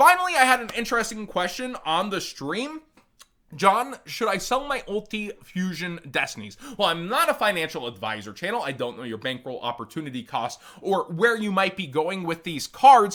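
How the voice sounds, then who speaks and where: In an American accent, a man projects a raised, high-pitched voice with a bright, sharp tone, moving at a moderate pace through very wide pitch swings and big swings in loudness. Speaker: trading card game content creator. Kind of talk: market analysis commentary.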